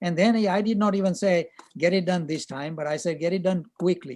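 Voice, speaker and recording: The man's voice is high-pitched and dark and mellow, with ordinary pitch variation and a very fast pace. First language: not English. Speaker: chemistry professor. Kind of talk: online class discussion.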